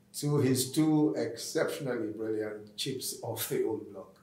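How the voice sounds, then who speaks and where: A man talks at a fairly slow pace, with audible room echo around him. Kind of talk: formal speech remarks. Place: office.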